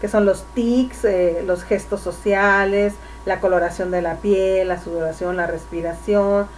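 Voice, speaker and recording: Audible room echo and noticeable background noise surround a woman who speaks at a fairly slow pace. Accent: Mexican. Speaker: public speaking instructor. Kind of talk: lecture.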